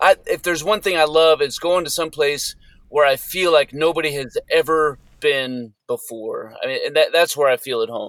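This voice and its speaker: Someone with an American accent speaks at a moderate pace with ordinary pitch variation, in a dry, close sound with no echo. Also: man, fairly high pitch for a man. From US Southwest, New Mexico. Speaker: military outdoor skills instructor. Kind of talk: interview. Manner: halting.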